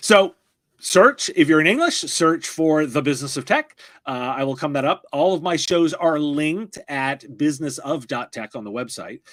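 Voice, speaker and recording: A man with a plain, everyday voice speaks at a fairly high pitch and moderate pace, with ordinary pitch variation. The recording is very clean, with a silent background and a dry, close sound with no echo. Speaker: tech podcast host. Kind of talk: interview. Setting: live stream.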